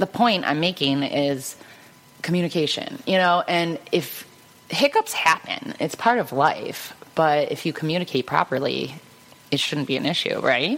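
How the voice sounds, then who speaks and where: Noticeable background noise surrounds a woman with an American accent. Her intonation is lively. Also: fairly low pitch for a woman, moderate pace. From Cleveland, Ohio, US Midwest. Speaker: photographer, custom gift maker. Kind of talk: casual chat. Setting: studio. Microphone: too far from the mic.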